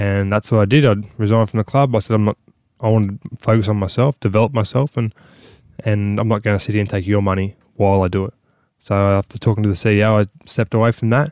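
With an Australian accent, a man talks at a very fast pace and a fairly low pitch. His intonation is fairly even, and the sound is dry and close with no echo. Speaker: former rugby league player. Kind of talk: casual chat.

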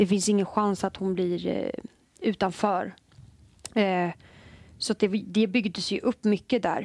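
Very slowly, a woman speaks at medium pitch with fairly even intonation. Long, frequent pauses break up the dry, close sound with no echo. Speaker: football player. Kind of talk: casual chat.

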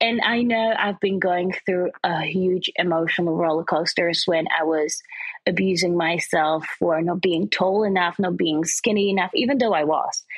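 Here a woman speaks in an ordinary speaking voice at medium pitch. Her pace is fairly slow. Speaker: presenter and fashion model. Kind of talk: casual interview.

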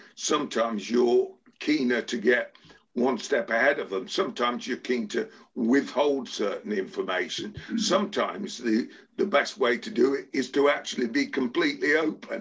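A man talks at a moderate pace in an English accent. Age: 70s. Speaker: sports agent. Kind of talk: interview.

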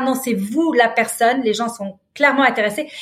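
This woman has a high pitch. Her pitch varies an ordinary amount. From Lebanon. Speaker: business leader and nonprofit founder. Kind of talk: interview. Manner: hesitant fillers.

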